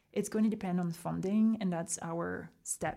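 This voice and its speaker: Fairly low in pitch with a dark, mellow tone, a woman speaks in a French accent with fairly even intonation in a very clean recording with a silent background. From rural south of France. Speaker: documentary maker. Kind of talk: interview.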